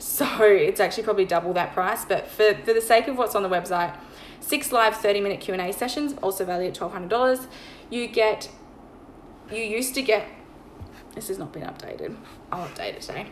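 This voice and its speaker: A woman with a fairly high voice talks at a fairly quick clip, with ordinary pitch variation, big swings in loudness, long and frequent pauses, and noticeable background noise. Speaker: online money mindset coach. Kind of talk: sales pitch. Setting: Instagram live stream. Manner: fast.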